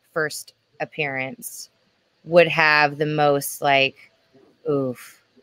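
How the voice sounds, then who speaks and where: The speaker is a woman. Her recording has a dry sound with no echo. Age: 30s. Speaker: panelist. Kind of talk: casual chat. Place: home room.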